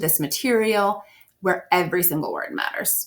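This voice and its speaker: A woman's plain, everyday voice, medium-pitched, at a moderate pace with lively intonation. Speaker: SAT prep teacher. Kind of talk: recorded lesson.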